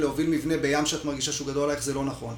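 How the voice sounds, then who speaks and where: There is noticeable background noise and audible room echo. The man's voice sits at a fairly high pitch. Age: 40s. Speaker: freediver and breath-hold workshop instructor. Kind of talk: podcast interview. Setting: at his home.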